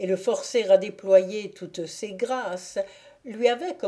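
A natural voice, reading aloud.

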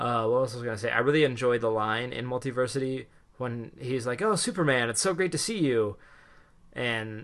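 A man has an unremarkable speaking voice at a medium pitch. He uses ordinary pitch variation over a quiet background. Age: 20s. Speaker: comics podcast host. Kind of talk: casual chat.

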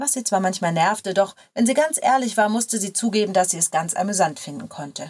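A natural reading voice carries the recording.

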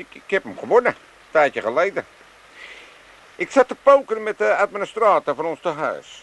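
A man uses a put-on character voice with a high pitch and a fairly bright tone. He moves at a moderate pace with big pitch swings.

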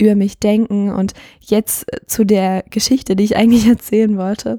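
A woman at a moderate pace, fairly high in pitch, with a dark, mellow tone and a flat monotone. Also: very clean recording, silent background. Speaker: podcast host. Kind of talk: solo podcast monologue. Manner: casual, hesitant with fillers.

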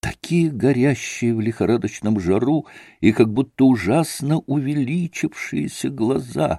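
Here is an unforced reading voice. It stays that way throughout.

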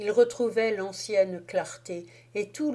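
The reading voice is unforced, and the intonation is lively.

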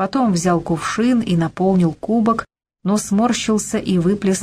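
This is a natural reading voice with ordinary pitch variation, heard against a quiet background.

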